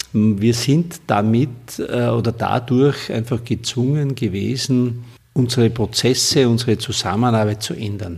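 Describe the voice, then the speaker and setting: This man's voice, pitched in the middle, shows ordinary variation as he talks fairly slowly. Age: 40s. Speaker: construction company CEO. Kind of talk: interview. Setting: office. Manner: halting.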